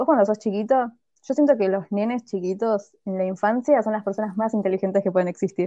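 With a Rioplatense accent, a woman at medium pitch speaks at a fairly quick pace in a dark, mellow tone, the sound dry and close with no echo. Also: ordinary pitch variation. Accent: Argentine Spanish (rioplatense). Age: 20s. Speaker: podcast co-host. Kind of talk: casual chat.

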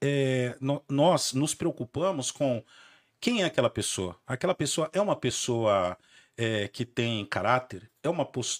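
A man with an ordinary speaking voice talks at a fairly slow pace, medium in pitch with lively intonation. The recording is very clean with a silent background and a dry, close sound with no echo. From Brazil, Santo André (São Paulo). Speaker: lawyer, podcast host. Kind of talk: casual chat.

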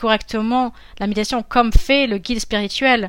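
Over a silent background in a very clean recording, a woman speaks with fairly even intonation. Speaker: interpreter and voice actor. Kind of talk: interview answers, conversational.

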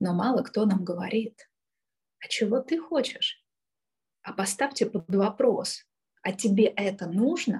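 A woman's fairly high, somewhat breathy voice with ordinary pitch variation, a very slow pace and long, frequent pauses. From Kyiv, Ukraine. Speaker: art therapist and trainer. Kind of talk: interview.

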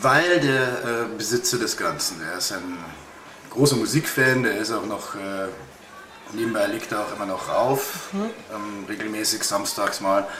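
A man of medium pitch talks at a fairly slow pace with lively intonation and long, frequent pauses, over noticeable background noise and audible room echo. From Bavaria, Upper Palatinate. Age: 30s. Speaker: bartender. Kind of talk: interview.

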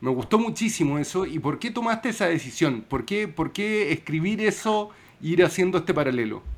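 A man with a high pitch, very wide pitch swings and a fairly quick pace. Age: 40s. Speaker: podcast host. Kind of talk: casual interview.

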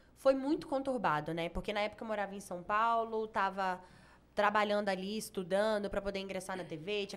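A woman of medium pitch talks at a fairly quick pace with ordinary pitch variation. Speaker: TV presenter and former beauty queen. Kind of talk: casual chat. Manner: calm.

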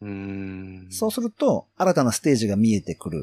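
The voice has a dark, mellow tone and very wide pitch swings. The sound is dry and close with no echo, in a very clean recording with a silent background. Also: man. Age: 30s. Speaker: farmer and podcaster. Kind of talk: casual chat.

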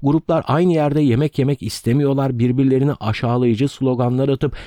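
A man with a dark, mellow tone and medium pitch speaks at a moderate pace with fairly even intonation, very even loudness and hardly any pauses, in a dry, close sound with no echo against a quiet background. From Turkey, Ödemiş (İzmir), Aegean region. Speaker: history and culture podcaster. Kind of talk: storytelling narration. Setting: makeshift room recording, away from home studio.

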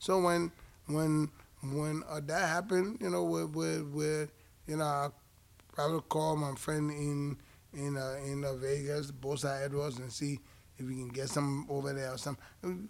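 In a normal speaking voice with an American accent, a man talks at a fairly slow pace, fairly high in pitch, with ordinary pitch variation. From outside the US. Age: 50s. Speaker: boxing podcast co-host and former fighter. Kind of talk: casual chat. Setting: boxing gym.

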